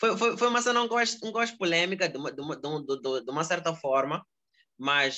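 Bright, sharp tone from a man talking at a fairly quick pace with lively intonation. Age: 20s. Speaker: rapper. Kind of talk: casual interview. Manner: halting, many repetitions.

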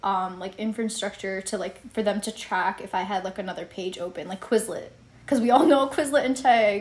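There is noticeable background noise behind a woman. She talks at a moderate pace with ordinary pitch variation. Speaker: podcast co-host, college student. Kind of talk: casual chat.

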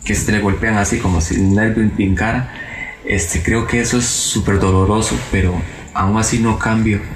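In a Costa Rican accent, the speaker talks at a moderate pace with fairly even intonation and very even loudness, with audible room echo and noticeable background noise. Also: man, fairly low pitch for a man. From Costa Rica, La Palmita. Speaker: accident survivor. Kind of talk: testimony.

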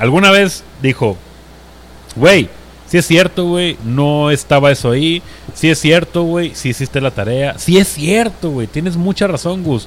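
A man with a Mexican accent, fairly high-pitched and animated in tone, with lively intonation at a fairly slow pace, over noticeable background noise. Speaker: podcast host. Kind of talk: casual chat.

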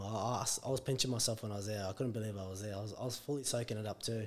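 Very fast, monotone speech from a man with an Australian accent and a fairly low pitch. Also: very clean recording, silent background. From Brisbane, Australia. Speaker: professional rugby league player. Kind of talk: casual interview.

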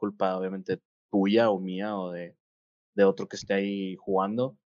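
This is a man speaking with a Mexican accent. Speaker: gaming podcast co-host and game coach. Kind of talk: casual chat. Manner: halting, many repetitions and fillers.

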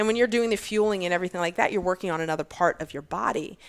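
A woman speaks in a fairly low voice with an American accent. The recording is very clean, with a silent background. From Virginia. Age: 40s. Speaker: fitness athlete and bodybuilder. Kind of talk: casual interview chat.

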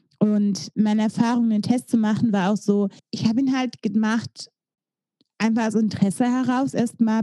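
In a dry, close recording with no echo, a woman speaks at a fairly high pitch, her tone dark and mellow and somewhat breathy. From East Belgium, German-speaking border area. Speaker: podcast co-host. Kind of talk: casual chat.

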